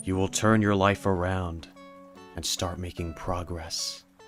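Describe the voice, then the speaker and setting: A put-on character voice talks at a fairly slow pace. Faint music plays in the background. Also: man. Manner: slow, soothing, hypnotic.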